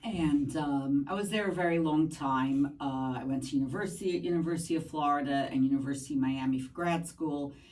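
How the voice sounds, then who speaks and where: Speech at a fairly quick pace with hardly any pauses and ordinary pitch variation comes through audible room echo and noticeable background noise. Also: woman, very deep, low pitch for a woman. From New York, Brooklyn. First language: Spanish. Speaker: math teacher. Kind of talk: podcast interview. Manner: hesitant, many fillers.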